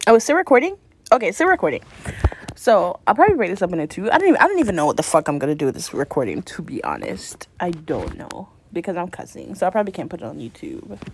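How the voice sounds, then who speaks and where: Talking at a very fast pace, a woman sounds animated, her loudness swinging widely. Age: 20s. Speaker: solo podcaster. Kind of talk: casual monologue.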